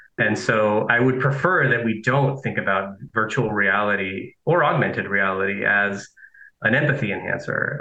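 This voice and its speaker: At a moderate pace and very even loudness, a man with a fairly low pitch, ordinary pitch variation and an ordinary speaking voice speaks. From Nicaragua, raised in Southern California. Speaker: philosophy professor. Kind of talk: interview.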